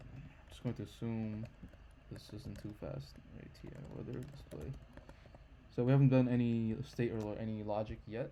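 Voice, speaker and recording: Loudness swings widely as a man at medium pitch talks at a moderate pace, his pitch varying an ordinary amount and his speech broken by long, frequent pauses. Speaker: programming livestreamer. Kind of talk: live coding tutorial. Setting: livestream from home computer. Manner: hesitant, many fillers.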